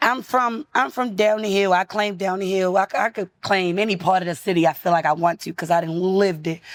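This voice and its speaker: With a Baltimore accent, a woman talks at a fairly quick pace with hardly any pauses, her pitch medium and her tone animated. The recording is very clean with a silent background, dry and close with no echo. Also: ordinary pitch variation. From US, Baltimore. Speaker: rapper. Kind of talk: casual interview.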